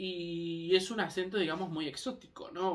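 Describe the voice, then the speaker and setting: A man talks at a moderate pace. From Canary Islands (Tenerife), Spain; born in Argentina. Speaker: vlogger. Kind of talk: casual monologue vlog. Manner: hesitant, many fillers.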